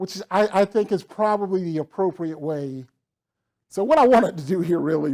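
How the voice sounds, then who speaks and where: A man's dark, mellow voice with a strong Southern US accent, ordinary pitch variation, and a very clean recording with a silent background. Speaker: professional development director and accessibility trainer. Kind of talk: lecture. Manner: casual, conversational.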